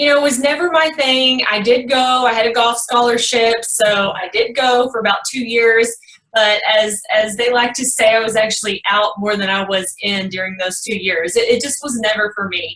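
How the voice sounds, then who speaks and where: A woman talks at a moderate pace with a Texas accent. Her voice is fairly high with ordinary pitch variation, and there is noticeable background noise. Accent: Texas twang. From Texas, Kaufman. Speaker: real estate investor. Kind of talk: podcast interview.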